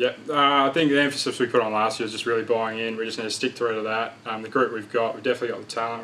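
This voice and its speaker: A man's very fast, medium-pitched delivery with hardly any pauses, monotone and flat, with an Australian accent and noticeable background noise. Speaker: football player. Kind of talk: interview answer. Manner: quiet, laid back.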